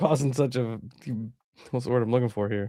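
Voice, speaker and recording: The voice belongs to a man. Its pitch moves up and down in a normal way. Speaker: podcast co-host. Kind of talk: casual chat.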